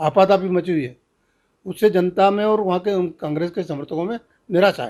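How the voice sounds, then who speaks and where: His pitch varies in an ordinary way. This man's voice is high. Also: moderate pace, quiet background. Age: 70s. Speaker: veteran politician, former minister. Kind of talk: political interview.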